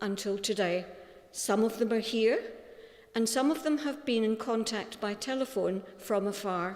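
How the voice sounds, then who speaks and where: A woman speaks with a Scottish accent at a fairly slow pace. Her voice is fairly high, with ordinary pitch variation. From Scotland. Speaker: eulogy speaker, friend of deceased. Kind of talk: eulogy. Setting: funeral service.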